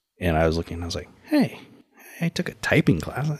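Somewhat breathy man at a moderate pace, pitch swinging very widely, in a dry, close sound with no echo. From Texas, San Antonio (military brat, moved around). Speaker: gym coach and tech worker. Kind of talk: casual interview.

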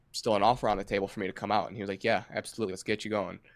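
A man speaks in a Midwestern American accent at a fairly low pitch. The recording is very clean with a silent background. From Michigan. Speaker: touring guitarist. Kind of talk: casual chat.

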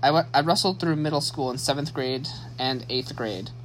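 With a Midwestern American accent, this man has a fairly high pitch, a bright, sharp tone, and ordinary pitch variation. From US Midwest, Saginaw, Michigan. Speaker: podcast host. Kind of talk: solo monologue, personal story. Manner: halting, many fillers and restarts.

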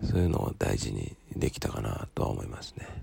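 A man is speaking. His pace is moderate. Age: 30s. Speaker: solo podcaster studying for an exam, parent. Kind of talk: casual monologue. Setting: early morning at home. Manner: halting, many fillers.

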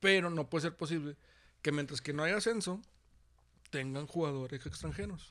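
A man with a Mexican accent, fairly high in pitch, bright and sharp in tone, at a moderate pace with long, frequent pauses and ordinary pitch variation, on a very clean recording with a silent background. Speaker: teacher and podcast co-host. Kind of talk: casual chat.

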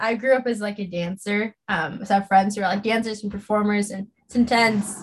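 Hardly pausing, a woman speaks at a moderate pace in a medium-pitched, somewhat breathy voice with monotone, flat intonation. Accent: American. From Los Angeles, California. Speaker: social media coordinator and political content creator. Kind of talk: casual interview chat.

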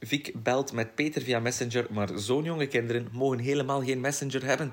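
A man with an unremarkable speaking voice, medium in pitch, at a moderate pace with fairly even intonation. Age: 20s. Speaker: podcast co-host. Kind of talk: casual chat.

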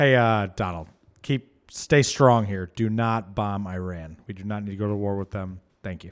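An ordinary speaking voice from a man, fairly low in pitch with ordinary pitch variation, at a moderate pace with big swings in loudness, on a very clean recording with a silent background. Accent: American. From US Midwest, Michigan. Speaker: podcast co-host. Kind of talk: casual chat.

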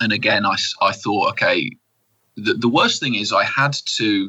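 A man at a fairly slow pace. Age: 30s. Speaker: mental health speaker and businessman. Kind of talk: interview testimony.

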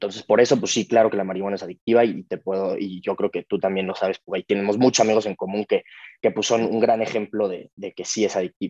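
The delivery is very fast and monotone, with flat intonation. The sound is dry and close, with no echo. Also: man, fairly low pitch for a man. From Mexico. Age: 20s. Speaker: podcast guest sharing recovery story. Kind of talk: casual interview, personal testimony.

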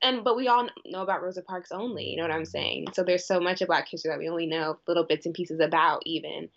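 A woman with a fairly low pitch and vocal fry talks at a very fast pace, with ordinary pitch variation and hardly any pauses. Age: 20s. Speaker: university student and club president. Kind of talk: casual chat.

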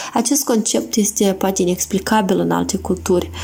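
A woman's medium-pitched voice at a moderate pace, over noticeable background noise. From Moldova, Ungheni district. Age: young. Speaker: listener contributor. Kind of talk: recorded message.

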